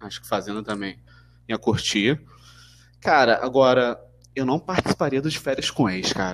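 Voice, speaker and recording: This man speaks at a moderate pace with a medium pitch and lively intonation. He leaves long, frequent pauses. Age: 20s. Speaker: podcast guest. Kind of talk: casual chat.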